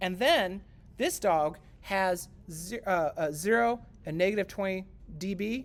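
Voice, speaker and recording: Here a woman talks at a fairly slow pace with long, frequent pauses. Her voice sits at a medium pitch with ordinary variation. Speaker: music lecturer. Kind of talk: lecture.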